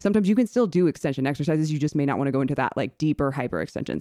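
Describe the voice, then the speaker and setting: A woman's very deep, low voice in an American accent, dark and mellow with vocal fry, very fast with lively intonation, in a dry, close sound with no echo. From Indiana. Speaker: fitness coach and gym owner. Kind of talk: casual chat. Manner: chatty, laughs often.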